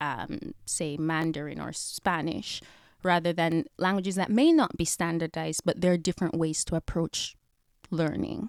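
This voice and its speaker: A woman with a fairly low pitch and vocal fry speaks at a moderate pace with ordinary pitch variation. The recording is very clean, with a silent background and a dry, close sound with no echo. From Jamaica. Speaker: professor. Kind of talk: interview.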